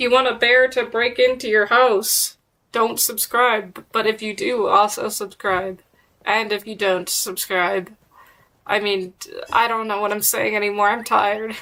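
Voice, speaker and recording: Bright and sharp in tone, a woman with a fairly high pitch speaks at a fairly slow pace with fairly even intonation. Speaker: gaming streamer. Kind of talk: live gameplay stream chat. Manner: sounds sarcastic.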